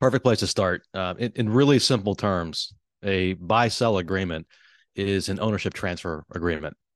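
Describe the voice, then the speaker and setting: This is a plain, everyday voice at a moderate pace with ordinary pitch variation. The sound is dry and close, with no echo. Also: man, fairly low pitch for a man, quiet background. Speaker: financial advisor. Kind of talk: casual chat.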